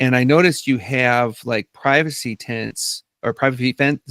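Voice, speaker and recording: A man with an American accent speaks at a fairly slow pace and medium pitch, with ordinary pitch variation. The recording is very clean, with a silent background and a dry, close sound with no echo. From US Midwest (Northern Minnesota). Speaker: podcast host. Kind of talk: interview.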